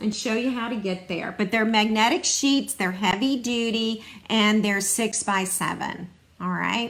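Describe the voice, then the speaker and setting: Noticeable background noise sits behind a woman's voice. She speaks at a fairly high pitch with ordinary pitch variation. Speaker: stamping demonstrator. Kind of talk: live craft demo. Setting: online livestream. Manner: casual, chatty.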